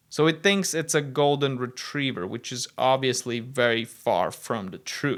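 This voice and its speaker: A man's fairly high-pitched voice at a moderate pace, on a very clean recording with a silent background. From Latvia. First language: Latvian. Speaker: tech video presenter. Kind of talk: tech demo narration.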